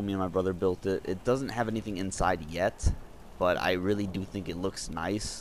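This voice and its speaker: Fairly low male voice, fairly even intonation, moderate pace. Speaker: gaming YouTuber. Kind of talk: gameplay walkthrough commentary. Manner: monotone; halting, many fillers.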